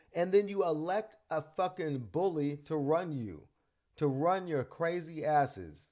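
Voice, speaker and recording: Loud and animated, a man speaks with a high pitch. His pitch variation is ordinary. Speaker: political commentary podcaster. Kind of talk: political rant.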